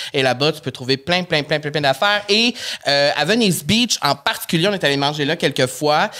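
With a Quebec accent, a woman talks at a very fast pace in a very deep, low pitch. The background is quiet. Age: 30s. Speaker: podcast host. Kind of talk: casual chat. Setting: studio. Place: studio. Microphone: studio mic.

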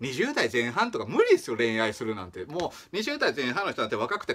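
The speech comes at a very fast pace with a Kagoshima accent. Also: man. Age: 30s. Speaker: small-channel vlogger. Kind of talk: casual talk to camera. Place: home room. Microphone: phone near.

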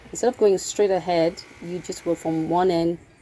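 Faint music plays behind a woman speaking in a fairly low pitch. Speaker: travel vlogger. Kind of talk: casual vlog chat. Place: street.

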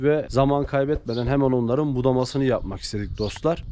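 Speaking at a fairly quick pace, a man keeps a dark, mellow tone and fairly even intonation. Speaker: farming channel vlogger. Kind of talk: casual vlog chat. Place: garden. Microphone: phone near.

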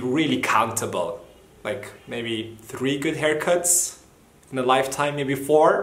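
There is audible room echo as a man talks at a moderate pace with ordinary pitch variation. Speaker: vlogger. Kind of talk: casual vlog chat. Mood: light, joking. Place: home room. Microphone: phone near.

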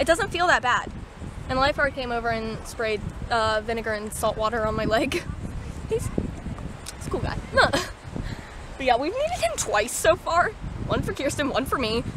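A woman talks at a moderate pace with a high pitch and lively intonation, leaving long, frequent pauses. The sound is dry with no echo, though noticeable background noise comes through. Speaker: vlogger. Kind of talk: casual vlog chat. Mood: shaken but laughing. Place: beach. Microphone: phone near.

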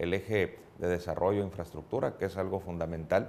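Light background noise sits under speech delivered at a fairly quick pace. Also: man. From Mexico, Tijuana; Mexico. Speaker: political candidate; candidate. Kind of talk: radio interview. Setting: studio. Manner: formal. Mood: calm, measured political talk. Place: studio. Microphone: lapel.

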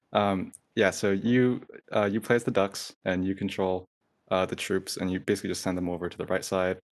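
Against a quiet background, a man with a fairly low pitch talks at a fairly quick pace, using ordinary pitch variation. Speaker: student game developer. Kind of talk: presentation. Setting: video call. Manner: fast. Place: home room.

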